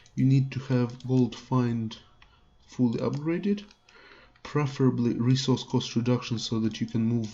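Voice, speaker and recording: A man's dark, mellow tone with a non-native accent, fairly slow delivery, and ordinary pitch variation. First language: not English. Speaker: gaming youtuber. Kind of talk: gameplay tutorial. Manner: hesitant, many fillers.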